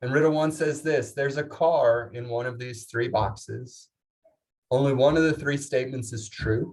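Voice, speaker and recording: This man has a medium-pitched, somewhat breathy voice. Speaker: leadership seminar speaker. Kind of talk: conference keynote talk. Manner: fast, energetic.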